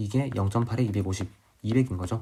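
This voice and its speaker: A man's very fast, somewhat breathy delivery, medium in pitch with ordinary pitch variation and a dark, mellow tone. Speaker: chemistry tutor. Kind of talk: tutorial. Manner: slurring words.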